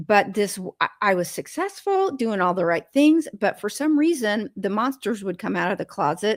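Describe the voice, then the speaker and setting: A woman speaks in a plain, everyday voice at a medium pitch with lively intonation. The recording is very clean and dry, close with no echo, over a silent background. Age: 60s. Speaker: food addiction recovery guest. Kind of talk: interview conversation.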